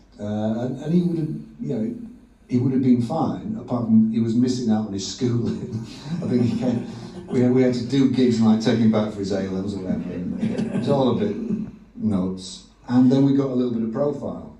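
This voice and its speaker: A man with a medium-pitched voice talks at a fairly quick pace with lively intonation. Audible room echo and noticeable background noise surround him. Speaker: rock guitarist. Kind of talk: live on-stage interview. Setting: stage with audience.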